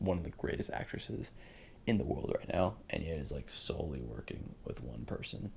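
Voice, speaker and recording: Vocal fry runs through this man's very deep, low voice. His pitch swings very widely. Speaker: film critic youtuber. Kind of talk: casual solo commentary. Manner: fast.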